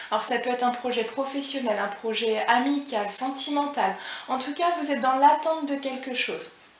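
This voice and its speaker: With audible room echo and noticeable background noise, a woman talks at a moderate pace in a high pitch with ordinary pitch variation. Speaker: tarot card reader. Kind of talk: psychic reading. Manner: halting.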